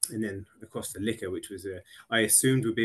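A man's somewhat breathy voice. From England. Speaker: loss prevention manager. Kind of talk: interview.

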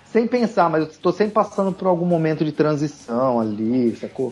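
Speaking at a very fast pace, a man has a fairly high pitch. His pitch swings very widely. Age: 40s. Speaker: tattoo artist. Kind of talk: casual chat.

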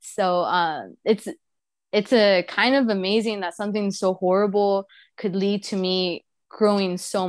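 On a very clean recording with a silent background, a woman talks at a medium pitch and a fairly slow pace. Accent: Spanish. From Mexico, raised in Houston, Texas. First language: Spanish. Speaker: museum outreach specialist and baker. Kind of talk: casual interview.

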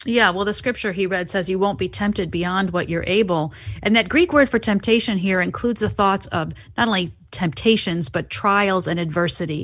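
With a plain, everyday voice, a woman talks at a medium pitch and a fairly quick pace, her pitch varying in an ordinary way against a quiet background. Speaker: recurring guest contributor. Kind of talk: casual discussion.

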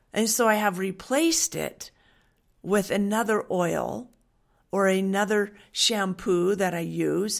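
A woman with an American accent and a medium-pitched voice speaks at a very slow pace with ordinary pitch variation in a very clean recording with a silent background. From Western Washington, US. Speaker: essential oils wellness coach. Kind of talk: monologue with sales pitch. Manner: warm, earnest.

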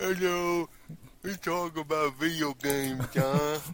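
Putting on a character voice, a man speaks at a fairly slow pace in a fairly high pitch with fairly even intonation. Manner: exaggerated, joking.

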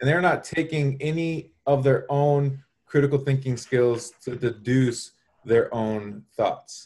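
Very slowly and with fairly even intonation, a man with an American accent speaks in a somewhat breathy, fairly high-pitched voice. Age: 30s. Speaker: Instagram marketing guest. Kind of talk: casual chat. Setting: live stream.

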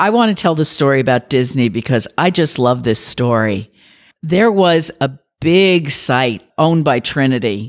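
With an American accent, a woman speaks at a fairly slow pace in a very deep, low pitch with very wide pitch swings, on a very clean recording with a silent background. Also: very even loudness. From New York City. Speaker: business district president. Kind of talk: interview, professional conversation. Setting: office recording.

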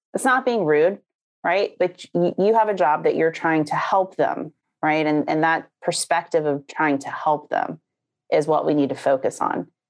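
Lively intonation and a moderate pace come through on a very clean recording with a silent background. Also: woman, fairly low pitch for a woman. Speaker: online sales trainer. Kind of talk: casual chat. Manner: animated.

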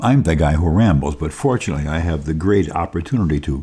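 Speaking at a fairly quick pace, a man uses lively intonation in a very deep, low pitch with a dark, mellow, somewhat breathy tone. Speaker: radio show host. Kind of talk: radio talk show. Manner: rambling.

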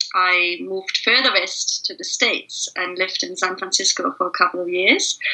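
Amid noticeable background noise, a woman with a German accent speaks at a moderate pace with hardly any pauses. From East Germany. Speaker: facilitator and leadership trainer. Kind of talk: interview.

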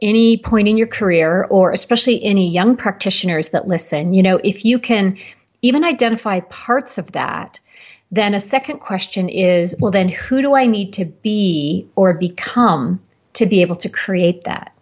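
A woman with a normal speaking voice, medium pitch, ordinary pitch variation and a moderate pace. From Canada. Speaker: practice coach for health professionals. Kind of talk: interview.

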